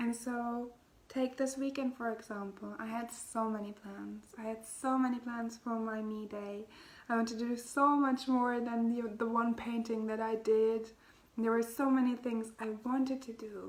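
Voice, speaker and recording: At a moderate pace, the speaker uses a non-native accent and monotone, flat intonation. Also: woman, fairly high pitch for a woman. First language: not English. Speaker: spiritual healer and podcast host. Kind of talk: casual spiritual talk.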